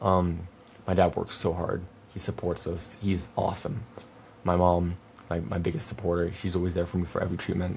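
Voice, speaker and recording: A man's very deep, low pitch, fairly quick pace, monotone, flat intonation, noticeable background noise. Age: 20s. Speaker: podcast host, young cancer patient. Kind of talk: personal monologue podcast. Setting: home video recording with monitors. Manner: halting, word-finding pauses; casual, emotional.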